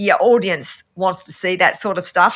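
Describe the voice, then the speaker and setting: With an Australian accent, the speaker uses a bright, sharp tone with vocal fry, ordinary pitch variation and a fairly quick pace, on a very clean recording with a silent background. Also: woman. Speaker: scientist and YouTube debunker. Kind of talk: interview conversation.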